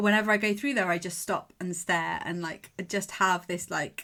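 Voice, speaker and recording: An animated, bright and sharp voice in an English accent, at a moderate pace with ordinary pitch variation. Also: woman. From England. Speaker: mental performance coach. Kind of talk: podcast monologue.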